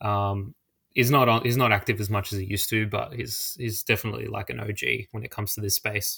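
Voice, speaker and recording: Fairly low-pitched male voice with an Australian accent, bright and sharp in tone, fairly even intonation, at a fairly quick pace on a very clean recording with a silent background. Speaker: social media personality. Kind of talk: podcast interview.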